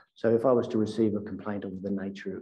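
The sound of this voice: At a fast pace, a man speaks with a fairly low pitch, a dark, mellow tone and little pitch movement.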